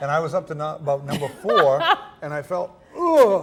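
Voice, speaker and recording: A man's fairly high voice over noticeable background noise, fairly quick in pace, with ordinary pitch variation. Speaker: storyteller and musician. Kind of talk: interview answer.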